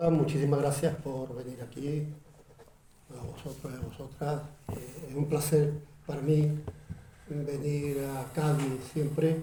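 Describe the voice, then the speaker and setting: A man with an Andalusian accent, fairly high pitch, monotone, flat intonation, big swings in loudness, a very slow pace and long, frequent pauses. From Utrera, Andalusia, Spain. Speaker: actor, presenter and writer. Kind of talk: book presentation talk.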